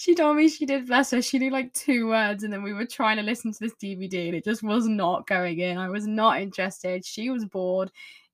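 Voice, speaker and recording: In an English accent, a woman speaks with lively intonation and hardly any pauses. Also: fairly high pitch for a woman, fairly quick pace. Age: 20s. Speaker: podcast host. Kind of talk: casual monologue. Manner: chatty.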